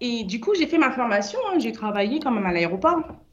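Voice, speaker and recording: There is noticeable background noise. A woman speaks at a fairly quick pace. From Paris suburbs (Seine-Saint-Denis), born in French Guiana. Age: 30s. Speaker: business founder. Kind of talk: radio interview. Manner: hesitant.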